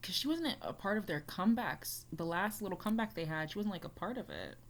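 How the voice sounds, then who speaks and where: A somewhat breathy voice with an American accent and very wide pitch swings, on a very clean recording with a silent background. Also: woman. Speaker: YouTuber reacting to music. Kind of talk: casual reaction vlog. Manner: casual, filler-heavy with frequent 'like'.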